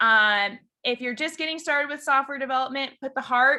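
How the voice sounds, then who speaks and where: In a raised, projected voice, a woman with an American accent talks fairly quickly at a high pitch with a bright, sharp tone. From Chicago, US Midwest. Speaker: software engineering lead, conference speaker. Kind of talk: conference talk over video call. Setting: video call. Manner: animated.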